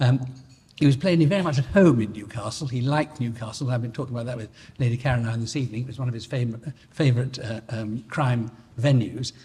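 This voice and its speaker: A man speaks at a fairly quick pace in a medium pitch, with ordinary pitch variation. His tone is dark and mellow, and somewhat breathy. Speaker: barrister. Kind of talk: anecdote at an anniversary dinner. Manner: halting, many repetitions and false starts.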